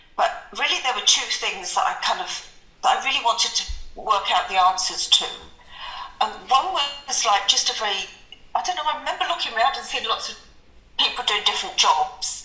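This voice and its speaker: A woman's high-pitched voice in a London accent, fairly quick with very wide pitch swings and long, frequent pauses, music in the background. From southeast London, England. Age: 60s. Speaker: accounting professor. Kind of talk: interview. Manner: hesitant, many fillers.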